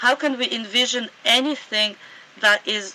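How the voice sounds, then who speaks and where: A woman with a Russian accent speaks with ordinary pitch variation. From Sudan. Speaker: anarchist author and scholar. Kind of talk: interview conversation.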